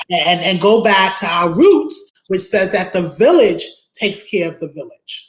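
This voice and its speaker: The speaker has a strong Brooklyn accent. The pace is fairly slow. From Brooklyn, New York (Bed-Stuy). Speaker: attorney, community advocate. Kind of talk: interview on live online talk show. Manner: repetitive, stumbling restarts.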